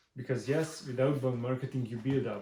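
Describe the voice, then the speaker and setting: A man with a non-native accent speaks in a dark, mellow tone that is somewhat breathy. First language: not English. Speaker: marketing agency owner, business vlogger. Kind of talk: tutorial. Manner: halting, many fillers.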